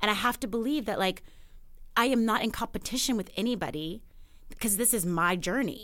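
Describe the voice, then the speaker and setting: With an American accent, a woman talks at a fairly quick pace, leaving long, frequent pauses. Her pitch is fairly high with ordinary variation, and her loudness stays very even. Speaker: actress. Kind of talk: casual chat.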